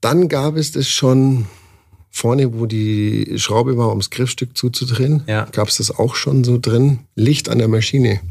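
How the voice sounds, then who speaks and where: The speaker is a man with a somewhat breathy voice. He talks at a fairly slow pace. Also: medium pitch for a man, ordinary pitch variation. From Bavaria, Landsberg am Lech. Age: 40s. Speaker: tattoo artist. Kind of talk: casual interview. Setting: at a trade event.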